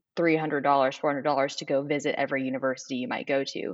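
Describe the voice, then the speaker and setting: A woman's very deep, low voice moves along at a moderate pace. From Nashville, Tennessee. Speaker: law student. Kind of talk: interview.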